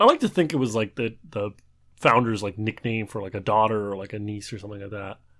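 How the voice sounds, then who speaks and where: Very fast in pace, a man with a fairly low pitch keeps his intonation fairly even. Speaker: trivia podcast co-host, does the editing. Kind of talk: casual banter between brothers.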